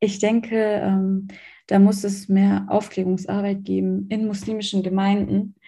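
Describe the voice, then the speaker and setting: A woman's somewhat breathy voice with a dark, mellow tone, medium pitch, fairly slow pace and monotone, flat intonation. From Germany. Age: 20s. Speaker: student talking about her faith. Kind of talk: interview.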